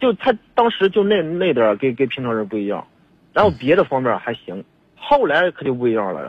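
Man with a Hebei accent, medium-pitched, fairly quick pace, big loudness swings and very wide pitch swings. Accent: regional Hebei accent noted. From Hebei, China. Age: 30s. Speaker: caller. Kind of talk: phone-in advice call. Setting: phone call. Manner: halting, stammering.

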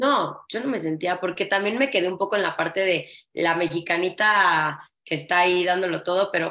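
A woman with an unremarkable speaking voice talks at a moderate pace in a medium pitch with ordinary pitch variation. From Mexico. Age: 30s. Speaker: flamenco dancer and dance teacher. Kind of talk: casual interview chat.

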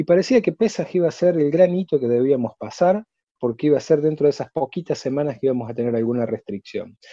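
A man speaks at a very fast pace with a fairly high pitch. His intonation is lively. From Argentina, Córdoba. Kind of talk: interview.

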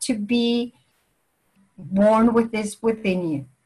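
Speaking at a very slow pace, a woman has a fairly high pitch. Her voice is somewhat breathy. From Venezuela, raised partly in England. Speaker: language teacher and department head. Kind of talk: interview.

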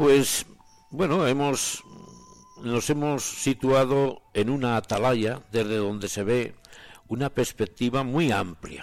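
With music in the background, a man speaks very slowly at medium pitch, with ordinary pitch variation. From Spain, Soria province. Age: 80s+. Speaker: retired professor and writer. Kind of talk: radio talk.

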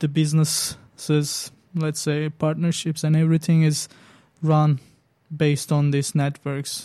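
With a Turkish accent, a man speaks at a very slow pace in a fairly high pitch, using a dark, mellow tone and monotone, flat intonation. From Turkey. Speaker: student organizer. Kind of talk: interview.

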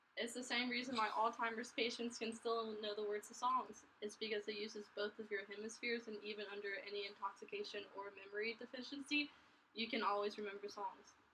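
A woman speaks at a fairly quick pace in a fairly high pitch, with hardly any pauses. Her intonation is monotone and flat, and there is noticeable background noise. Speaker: podcast co-host. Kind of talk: casual chat. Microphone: laptop mic, poor sound quality.

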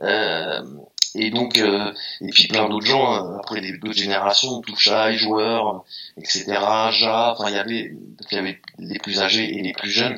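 At a very slow pace, a man with a fairly low pitch speaks in a monotone, flat intonation. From France, Meaux (Seine-et-Marne, east of Paris). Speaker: DJ and graffiti artist. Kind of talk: casual interview chat.

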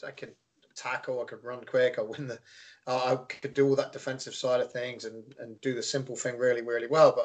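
A man with an English accent talks at a fairly quick pace. His loudness swings in big jumps. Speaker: youth soccer coach. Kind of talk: casual interview.

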